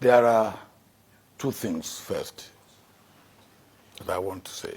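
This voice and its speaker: Speaking at a fairly slow pace, a man talks with a Nigerian accent. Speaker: former head of state. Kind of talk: interview answer.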